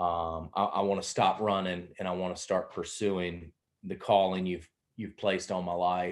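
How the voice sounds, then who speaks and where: Over a quiet background, a man with a Southern US accent speaks at a moderate pace in a very deep, low voice with flat, monotone intonation. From South Carolina. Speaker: pastor. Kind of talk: casual interview conversation.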